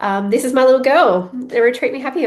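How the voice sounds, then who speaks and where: A woman speaking at a fairly quick pace with ordinary pitch variation. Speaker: podcast host; business owner. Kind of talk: casual solo podcast monologue. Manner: fast; animated.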